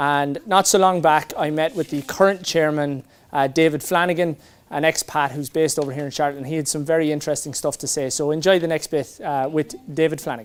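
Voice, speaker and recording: In an Irish accent, a man talks at a fairly quick pace with a fairly high pitch and fairly even intonation. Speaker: event host and interviewer. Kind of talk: fundraiser hosting and interview.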